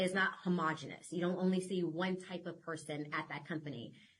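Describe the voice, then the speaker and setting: A woman with an American accent speaks at a fairly quick pace in an ordinary speaking voice, her pitch fairly low. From California. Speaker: children's book author. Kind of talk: podcast interview.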